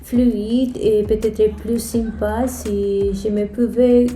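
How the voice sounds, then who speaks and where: A woman with a Spanish-speaking accent speaks at a very slow pace and a fairly high pitch. Her intonation is monotone and flat, with noticeable background noise. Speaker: app and video game developer. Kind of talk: casual talk to camera.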